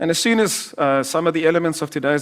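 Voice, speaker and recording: A man speaks with a South African accent at a very fast pace. His pitch shows ordinary variation. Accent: South African (Afrikaans) English. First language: Afrikaans. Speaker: investment manager. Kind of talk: presentation to live audience.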